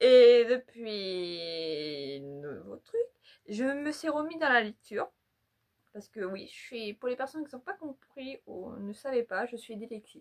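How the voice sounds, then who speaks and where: The speech moves at a very slow pace, with very wide pitch swings and big swings in loudness. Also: woman, fairly high pitch for a woman. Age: 20s. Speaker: YouTuber. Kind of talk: casual vlog. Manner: halting.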